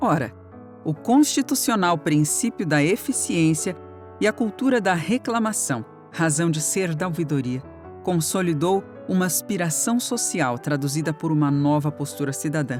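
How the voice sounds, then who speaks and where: A woman with a very deep, low pitch and very wide pitch swings at a moderate pace, music in the background. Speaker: voice actor. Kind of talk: audiobook narration. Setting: home studio.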